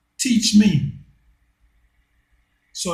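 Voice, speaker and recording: A man's bright, sharp tone marked by vocal fry. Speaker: commentary channel host. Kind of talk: monologue. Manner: slow; deliberate.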